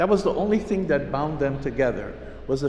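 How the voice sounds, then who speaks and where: With audible room echo and noticeable background noise behind him, a man talks at a moderate pace in a fairly high pitch, his pitch varying in an ordinary way. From Hawaii. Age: 70s. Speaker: pastor. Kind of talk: sermon.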